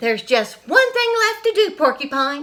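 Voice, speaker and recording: A woman puts on a squeaky character voice pitched high. Her pitch swings very widely. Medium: read story.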